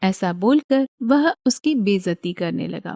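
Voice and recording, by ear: A woman at medium pitch speaks fairly slowly with lively intonation, a slightly mellow tone and vocal fry. The recording is very clean, dry and close, with no echo and a silent background.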